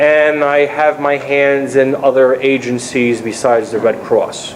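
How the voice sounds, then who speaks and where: Noticeable background noise sits behind a man speaking at a fairly slow pace with a fairly high pitch. His intonation is monotone and flat, his loudness very even. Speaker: Red Cross disaster volunteer. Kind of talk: panel presentation. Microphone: speaking without microphone.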